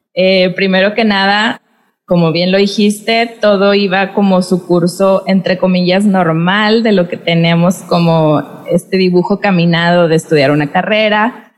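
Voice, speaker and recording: A woman's plain, everyday voice, medium in pitch, with fairly even intonation, a fairly slow pace, and very even loudness. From Mexico, Monterrey, Nuevo León. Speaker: podcast host and dance teacher. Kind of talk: casual interview conversation. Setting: video call.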